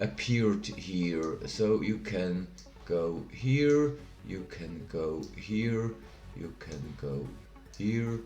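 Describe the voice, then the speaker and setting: In a Swiss German accent, a man speaks very slowly at a very deep, low pitch with very wide pitch swings, and the room echo is audible. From Switzerland (Bern). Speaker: tech tutorial youtuber. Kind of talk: tutorial.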